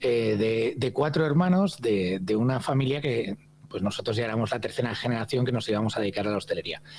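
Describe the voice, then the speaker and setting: A man is speaking at medium pitch. His pace is fairly quick. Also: ordinary pitch variation. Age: 50s. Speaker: hospitality consultant and trainer. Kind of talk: podcast interview. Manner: hesitant, many fillers and repetitions.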